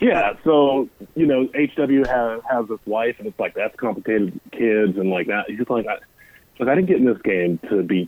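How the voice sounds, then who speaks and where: A man with a plain, everyday voice talks at a moderate pace and medium pitch, his intonation lively. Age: 30s. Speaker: guest. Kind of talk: casual chat. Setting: phone call.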